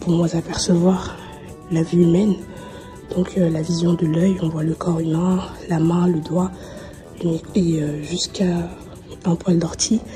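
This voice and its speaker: A woman talks at a fairly slow pace in a fairly low pitch, her intonation monotone and flat. Clear music plays in the background. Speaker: vlogger. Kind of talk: casual vlog chat. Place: hall. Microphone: phone near.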